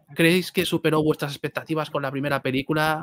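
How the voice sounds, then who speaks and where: An animated man with a fairly high voice, at a moderate pace against a quiet background. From Spain. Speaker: film youtuber; host of film channel live. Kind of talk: live stream chat. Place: home room. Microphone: studio mic.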